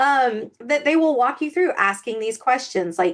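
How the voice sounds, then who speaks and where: Moderate-paced female speech against a quiet background. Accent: Southern US. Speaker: author and podcast co-host. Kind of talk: casual podcast chat. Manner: animated, frequent fillers and repetitions.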